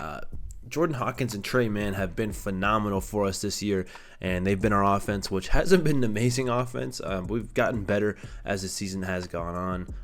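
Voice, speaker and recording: Audible room echo fills the space. The man's pitch is fairly low. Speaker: gaming YouTuber. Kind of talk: gameplay commentary. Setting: temporary recording setup away from home. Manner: casual, filler-heavy; stuttering at times.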